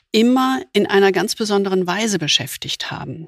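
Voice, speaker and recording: An ordinary speaking voice at a moderate pace, with ordinary pitch variation, has a dry, close sound with no echo. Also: woman. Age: 60s. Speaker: podcast host, leadership coach. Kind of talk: conversational discussion.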